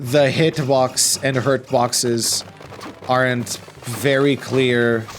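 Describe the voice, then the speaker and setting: Speech in a non-native accent with music in the background. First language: not English. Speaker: gameplay commentator. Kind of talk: let's play commentary. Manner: casual, filler-heavy.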